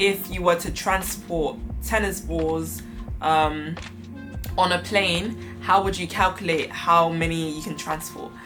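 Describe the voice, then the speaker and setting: With music in the background, a woman in a British accent speaks in an upbeat tone. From London, England. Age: 20s. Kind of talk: casual talk to camera.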